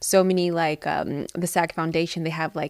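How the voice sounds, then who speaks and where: This woman talks at a fairly quick pace with a strong Midwestern US accent and a fairly low pitch, captured on a very clean recording with a silent background. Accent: American Midwestern, fairly thick. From US Midwest, Cincinnati, Ohio. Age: 30s. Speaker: actress and business founder. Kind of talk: casual interview chat. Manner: animated, laughs often.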